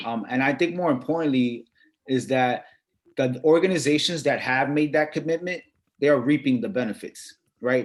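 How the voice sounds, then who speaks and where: Speaking in an American accent, a man keeps a moderate pace and ordinary variation in pitch. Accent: Brooklyn and Dominican. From Brooklyn, New York, Dominican family. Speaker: sports industry executive. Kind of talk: panel discussion. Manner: halting, many repeated words.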